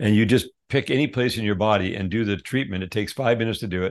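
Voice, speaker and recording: A man speaks in an ordinary speaking voice, fairly low in pitch with ordinary pitch variation, over a quiet background. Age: 60s. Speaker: wellness company CEO. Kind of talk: interview.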